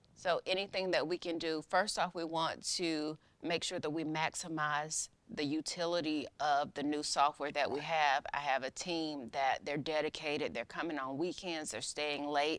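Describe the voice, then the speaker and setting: Hardly any pauses break up the speech. The voice is in a Southern US accent. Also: woman, very deep, low pitch for a woman, fairly even intonation, moderate pace. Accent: Southern American. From US South, Macon, Georgia. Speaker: county court clerk. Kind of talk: interview.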